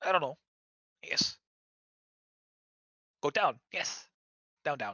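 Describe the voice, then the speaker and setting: This put-on character voice sits at a low-to-middle pitch and moves at a fairly slow pace. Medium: actual play. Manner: broken, repetitive speech with constant yeses.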